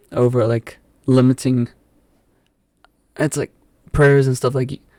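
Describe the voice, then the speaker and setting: Dry and close with no echo, a man with a South African accent speaks at a medium pitch and fairly slow pace in a monotone, flat intonation. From England, southwest London (Epsom). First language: Afrikaans. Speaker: podcast guest. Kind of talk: casual chat. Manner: halting.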